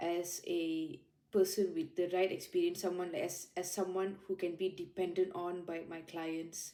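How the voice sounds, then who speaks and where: With a Malaysian accent, a woman speaks at a fairly slow pace in a dark, mellow tone with fairly even intonation. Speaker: junior lawyer. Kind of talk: interview reflection.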